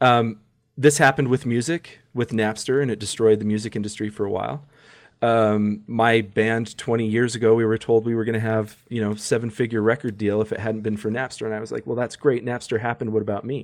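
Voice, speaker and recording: A man with an unremarkable speaking voice talks at a fairly quick pace with fairly even intonation. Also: medium pitch for a man. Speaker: attorney. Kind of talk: casual chat.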